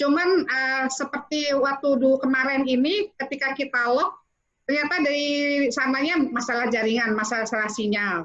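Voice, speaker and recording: High-pitched female voice at a moderate pace with ordinary pitch variation. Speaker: training organizer. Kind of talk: online training briefing. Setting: video call.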